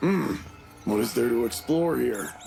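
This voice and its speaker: A man puts on a cartoonish character voice, gravelly and at a medium pitch, with very wide pitch swings over clear background noise. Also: moderate pace. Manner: menacing, mocking.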